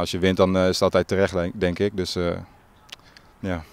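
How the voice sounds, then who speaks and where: A man's very deep, low voice at a fairly quick pace, dry with no echo. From Groningen province, Netherlands (Marum); Groningen, Netherlands. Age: young. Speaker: football player, team captain. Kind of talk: interview. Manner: halting. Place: open country. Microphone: handheld.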